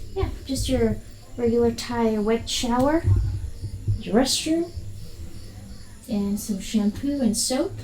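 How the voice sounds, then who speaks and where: Over music in the background, a woman speaks at a very slow pace with long, frequent pauses, a fairly high pitch and ordinary pitch variation. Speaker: travel vlogger. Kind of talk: casual vlog tour.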